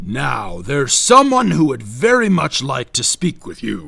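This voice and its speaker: A man puts on a character voice at a medium pitch. It comes out booming and growling. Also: moderate pace. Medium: read story. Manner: warm, hospitable.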